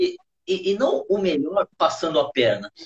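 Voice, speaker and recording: The voice is somewhat breathy, with very wide pitch swings. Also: man. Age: 50s. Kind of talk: interview about faith and business. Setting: online live stream. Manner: halting.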